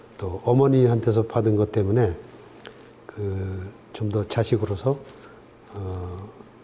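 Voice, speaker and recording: With long, frequent pauses, a man talks at a very slow pace in a fairly low pitch. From Korea, Gangwon (Chuncheon). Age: 60s. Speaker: professor emeritus. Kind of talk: interview. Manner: hesitant with many fillers.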